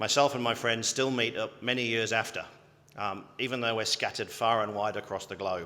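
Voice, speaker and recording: Speaking at a fairly quick pace, a man with a British accent has a medium pitch, a bright, sharp tone and ordinary pitch variation. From UK. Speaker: health service chief executive. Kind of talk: graduation address. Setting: ceremony hall with audience.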